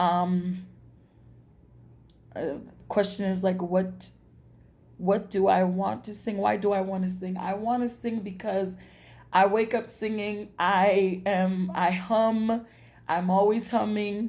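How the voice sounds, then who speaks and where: In a room with audible echo, a woman speaks very slowly in a flat monotone, leaving long, frequent pauses. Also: medium pitch for a woman. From New York, Brooklyn. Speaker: singer. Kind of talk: self-introduction video. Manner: halting, many fillers.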